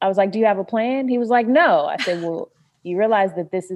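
Here is a woman with an American accent and an ordinary speaking voice. She talks at a fairly quick pace with ordinary pitch variation. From North Carolina, US South. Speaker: private chef and vegan food activist. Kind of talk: interview.

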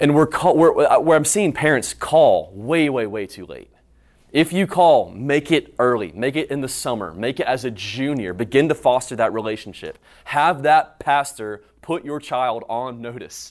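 With an American accent and a normal speaking voice, a man talks at a moderate pace, his fairly high pitch carrying lively intonation and big swings in loudness over a quiet background. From North Carolina, High Point. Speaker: young adults pastor. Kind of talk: conference breakout talk. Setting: conference room with live audience.

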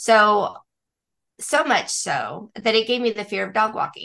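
Against a quiet background, a woman with a fairly high pitch speaks in a bright, sharp tone with vocal fry. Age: 60s. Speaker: pet sitter and dog walker, business owner. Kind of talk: interview.

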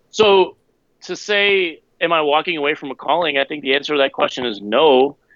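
Using an unremarkable speaking voice, a man talks at a fairly quick pace, his fairly high pitch showing ordinary variation. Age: 30s. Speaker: former pastor, author. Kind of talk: casual interview.

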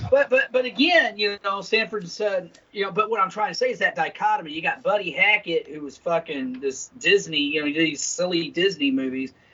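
A man with a high voice talks at a fairly quick clip, with lively intonation and hardly any pauses, over noticeable background noise. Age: 50s. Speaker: podcast co-host. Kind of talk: casual profane banter. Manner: animated, hesitant with fillers.

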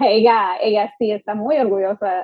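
A woman talks at a fairly slow pace. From US, Miami Beach, Florida. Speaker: immigration lawyer. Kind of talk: interview.

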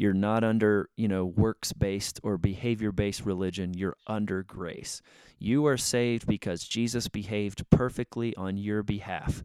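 In an ordinary speaking voice, a man talks at fairly low pitch and moderate pace with hardly any pauses and fairly even intonation. The recording is very clean with a silent background, a dry, close sound with no echo. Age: 40s. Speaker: faith podcast host. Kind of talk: solo podcast monologue. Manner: casual, many filler words.

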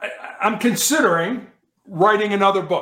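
A man with an American accent speaks at a high pitch in a bright, sharp tone. His pace is moderate and his pitch variation ordinary. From US Midwest, south side of Chicago. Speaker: author and motivational speaker, former police officer. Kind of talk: interview.

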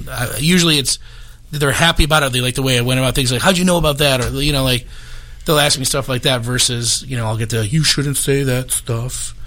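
Talking at a very fast pace, a man of medium pitch with an American accent keeps his intonation fairly even. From Chicago suburbs, Illinois. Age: 30s. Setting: studio.

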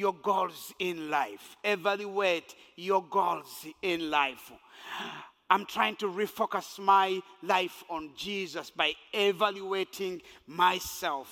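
In a raised, projected voice, a man with a high pitch and a bright, sharp tone speaks at a very slow pace with fairly even intonation. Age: 50s. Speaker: pastor. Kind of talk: sermon. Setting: church.

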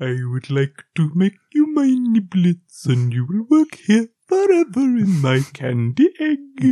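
A put-on character voice at a middle pitch swings very widely in pitch. It moves at a fairly slow pace with hardly any pauses.

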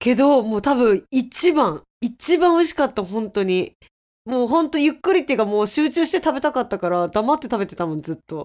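A woman speaks very fast at a high pitch with very wide swings in pitch, on a very clean recording with a silent background. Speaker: podcast co-host. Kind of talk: casual chat.

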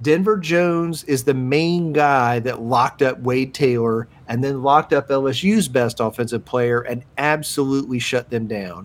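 At a fairly slow pace with hardly any pauses, a man speaks in an ordinary speaking voice, with medium pitch and ordinary pitch variation. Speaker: podcast co-host. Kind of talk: casual sports chat.

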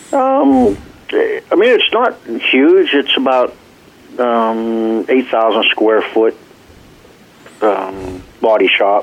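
The speaker goes at a very slow pace, with long, frequent pauses and very even loudness. Noticeable background noise runs underneath. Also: man. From Arkansas. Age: 50s. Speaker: race car driver and team owner. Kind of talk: interview.

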